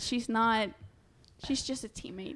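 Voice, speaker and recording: In a very clean recording with a silent background, a woman speaks at a moderate pace in a high pitch with ordinary pitch variation. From Honduras. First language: Spanish. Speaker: college student and volleyball player. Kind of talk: casual chat.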